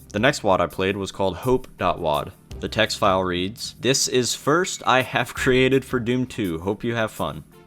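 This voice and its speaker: A man talks with ordinary pitch variation. Background music accompanies him. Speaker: gaming video narrator. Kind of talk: scripted gameplay commentary voice-over. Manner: fast.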